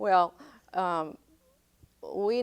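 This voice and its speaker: The recording of this woman is very clean, with a silent background. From northern Maine, Madawaska. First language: French. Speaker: heritage society member. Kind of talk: interview.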